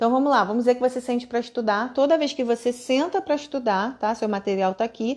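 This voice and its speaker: A woman with an ordinary speaking voice, fairly high in pitch, at a fairly quick pace with ordinary pitch variation. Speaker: online course instructor. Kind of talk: live online class.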